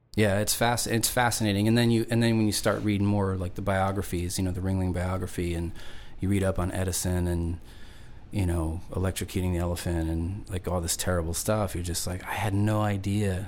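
Amid audible room echo, a man with a very deep, low voice speaks at a fairly quick pace in a relaxed tone with flat, monotone intonation. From Long Island, New York; moved around (Indiana, Nevada, Georgia). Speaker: singer-songwriter. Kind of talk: casual interview chat. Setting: studio.

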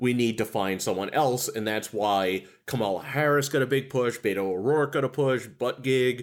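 In an ordinary speaking voice, a man talks at a moderate pace with hardly any pauses. His pitch is medium with ordinary variation, on a very clean recording with a silent background. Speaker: podcast co-host. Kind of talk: casual comedic chat.

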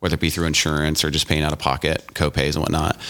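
The voice belongs to a man. His pitch is very deep and low. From Louisiana. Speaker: anesthesiologist and surgical center co-founder. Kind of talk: interview. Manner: halting, many fillers.

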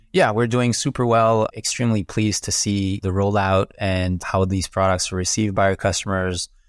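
In a French Canadian accent, a man with a fairly low voice talks with fairly even intonation and hardly any pauses, the recording very clean against a silent background. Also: moderate pace. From Quebec, Montreal. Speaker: company president. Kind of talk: business interview.

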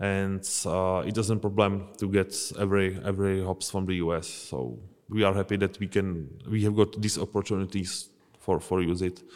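In a Czech accent, a man talks at a moderate pace with a fairly low pitch and fairly even intonation, on a very clean recording with a silent background. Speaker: brewmaster. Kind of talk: casual interview. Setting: brewery. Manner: halting, hesitant.

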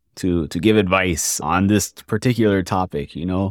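A man with a very deep, low pitch and an American accent, ordinary pitch variation, moderate pace, a dry, close sound with no echo and a very clean recording against a silent background. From US South, Jacksonville, Florida. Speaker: junior software developer. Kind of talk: casual interview chat.

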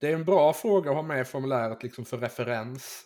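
A man talks in a plain, everyday voice, pitched medium, with ordinary pitch variation and a moderate pace. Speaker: podcast host. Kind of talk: casual interview chat.

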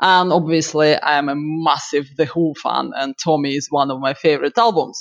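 Speaking at a moderate pace in a Russian accent, a woman barely pauses. Her very deep, low pitch carries fairly even intonation. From Siberia, Russia. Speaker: pinball streamer. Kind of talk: casual interview.

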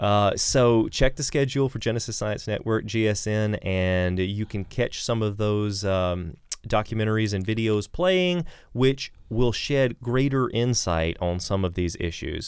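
In a plain, everyday voice, a man with fairly low pitch speaks at a fairly slow pace, his pitch varying in an ordinary way. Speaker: podcast host. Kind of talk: interview conversation.

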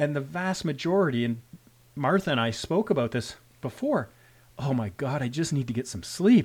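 With lively intonation, a man with a Canadian accent speaks at a moderate pace in a fairly high, somewhat breathy voice. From Canada. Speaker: rural emergency physician, medical educator. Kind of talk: interview discussion. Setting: video call.

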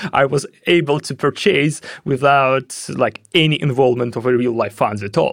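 A man's medium-pitched voice in a Russian accent, with vocal fry, ordinary pitch variation and a moderate pace. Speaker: head of security at a blockchain company. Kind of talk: interview.

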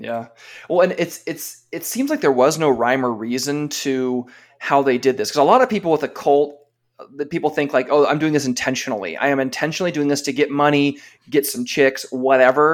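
At a fairly quick pace, a man with a normal speaking voice talks in a fairly high pitch with ordinary pitch variation. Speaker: podcast co-host. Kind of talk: casual chat. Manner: laughs often.

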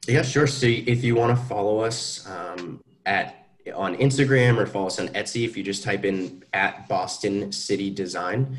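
Somewhat breathy and fairly low in pitch, a man speaks at a moderate pace with ordinary pitch variation. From New Hampshire. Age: 20s. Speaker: small business owner. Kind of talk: interview.

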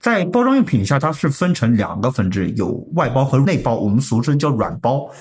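A man speaks at a fairly high pitch with a somewhat breathy quality. His pitch swings very widely. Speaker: sales at a pharmaceutical packaging printing company. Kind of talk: casual interview. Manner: formal.

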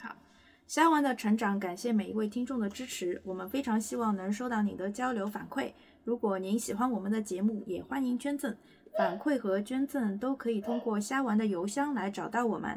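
A woman with a fairly high pitch, ordinary pitch variation and a moderate pace, against noticeable background noise. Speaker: stand-in podcast host. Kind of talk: casual chat. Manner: laughs often, somewhat halting.

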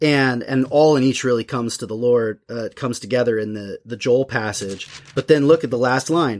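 A man at a medium pitch and moderate pace, with ordinary pitch variation and hardly any pauses. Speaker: seminary professor and podcast host. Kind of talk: casual theological discussion. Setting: studio. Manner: loud.

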